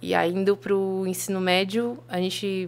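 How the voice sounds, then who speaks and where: A woman talks in a medium pitch. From Blumenau, Santa Catarina, Brazil. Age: 20s. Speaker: journalist and media founder. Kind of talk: casual interview chat. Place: studio. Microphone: studio mic.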